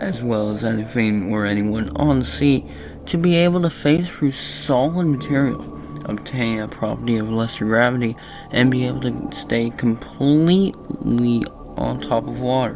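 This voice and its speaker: Music plays in the background as the speaker moves at a moderate pace. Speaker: SCP article reader. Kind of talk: reading of a fiction wiki article. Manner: some odd pauses and pronunciations.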